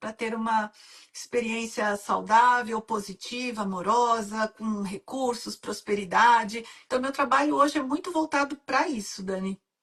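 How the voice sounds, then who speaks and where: A woman using a normal speaking voice talks fairly slowly at a fairly high pitch, with ordinary pitch variation. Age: 60s. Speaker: women's mentor and hypnotherapist. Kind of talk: live-stream interview. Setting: online live stream.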